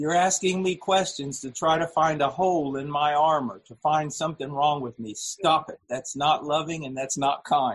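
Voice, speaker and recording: A somewhat breathy man with a fairly high pitch and ordinary pitch variation speaks at a fairly slow pace with hardly any pauses. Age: 50s. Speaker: preacher. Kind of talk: sermon. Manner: halting.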